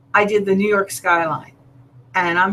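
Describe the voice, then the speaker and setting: A woman speaks in a plain, everyday voice, her medium pitch varying in an ordinary way as she keeps a moderate pace. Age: 60s. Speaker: artist and online show host. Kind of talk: casual art tutorial livestream.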